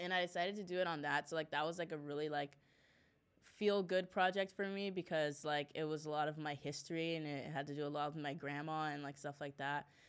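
With a Spanish accent, a woman speaks at a very deep, low pitch. Her pace is fairly quick and her intonation fairly even. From El Paso, Texas and Juarez, Mexico. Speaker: college soccer player. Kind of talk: casual interview chat. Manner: casual, filler-heavy.

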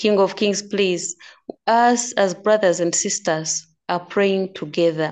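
A woman at a medium pitch talks at a very slow pace with fairly even intonation. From Uganda. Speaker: prayer participant. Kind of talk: fervent prayer. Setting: video call, unstable network.

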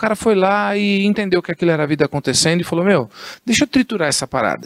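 This man talks at a fairly quick pace with a high pitch. The sound is dry and close, with no echo. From Guarulhos, São Paulo state, Brazil. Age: 40s. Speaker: entrepreneur and communicator. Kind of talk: casual interview chat.

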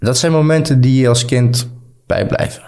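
A man speaks in a medium pitch with fairly even intonation. His tone is dark and mellow, and somewhat breathy. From Netherlands (Friesland), fled Balkans at six. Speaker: brand founder sharing refugee story. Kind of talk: casual interview.

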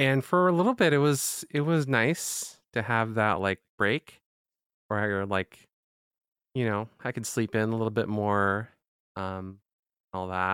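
A man of medium pitch speaks at a fairly slow pace with long, frequent pauses, his sound dry and close with no echo on a very clean recording with a silent background. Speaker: podcast co-host. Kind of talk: casual chat.

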